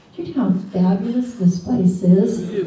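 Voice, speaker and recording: A woman with a slight Boston accent at a fairly slow pace and ordinary pitch variation, amid audible room echo and noticeable background noise. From Boston area, Massachusetts. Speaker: minister candidate. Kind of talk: sermon. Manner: animated.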